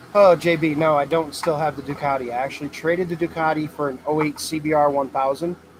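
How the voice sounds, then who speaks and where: With an American accent, a man talks at a very fast pace in a fairly high, monotone voice, hardly pausing, over noticeable background noise. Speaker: welder and fabricator, channel owner. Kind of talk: livestream Q&A with chat. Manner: loud, talking over heater.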